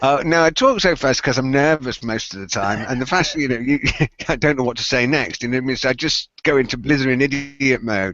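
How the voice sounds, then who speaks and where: A man with a British accent talks at a fairly quick pace in a medium pitch, his pitch varying in an ordinary way. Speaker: tech podcast co-host. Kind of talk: casual chat. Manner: fast.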